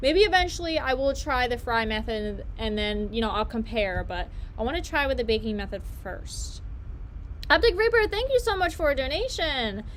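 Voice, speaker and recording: A woman talks at a moderate pace in a high pitch, her voice swinging very widely up and down. Noticeable background noise sits behind her. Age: 20s. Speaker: YouTuber. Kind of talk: casual live-stream chat while baking.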